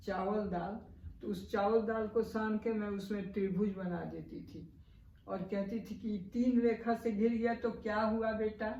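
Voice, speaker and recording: A woman at a fairly high pitch in a monotone, flat intonation, with noticeable background noise. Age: 80s+. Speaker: Bhojpuri writer. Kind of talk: interview answer.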